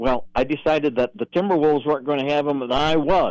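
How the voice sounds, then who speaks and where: In a Minnesota accent, a man talks at a fairly quick pace with fairly high pitch, the sound dry and close with no echo against a quiet background. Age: 70s. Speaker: deer hunter and senior softball player. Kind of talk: casual chat, storytelling.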